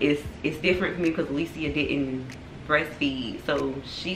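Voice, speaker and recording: With a North Carolina accent, a woman speaks at a very deep, low pitch and fairly even intonation over noticeable background noise. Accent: North Carolina Southern. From US South. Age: 20s. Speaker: family vlogger. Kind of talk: casual chat. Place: home room. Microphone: camera far.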